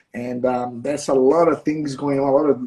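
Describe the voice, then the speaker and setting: This man has a dark, mellow tone and a fairly high pitch. He speaks at a moderate pace. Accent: Portuguese. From Brazil. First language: Portuguese. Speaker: martial arts instructor. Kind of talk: live interview. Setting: livestream. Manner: halting.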